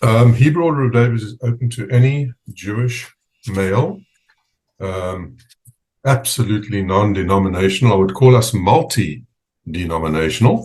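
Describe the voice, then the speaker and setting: Somewhat breathy, lively-intoned speech from a man. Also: medium pitch for a man, moderate pace. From South Africa, Port Elizabeth. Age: 60s. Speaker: fraternal organization president. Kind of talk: interview. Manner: halting, many fillers.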